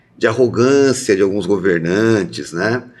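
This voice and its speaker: The man talks at a fairly slow pace, his pitch moving with ordinary variation. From interior of São Paulo state, Brazil. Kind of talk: casual conversation.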